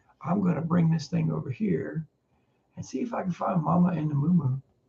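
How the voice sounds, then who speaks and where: The voice has a dark, mellow tone with vocal fry and ordinary pitch variation. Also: man, long, frequent pauses. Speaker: farmer and livestream host. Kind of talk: casual livestream chat.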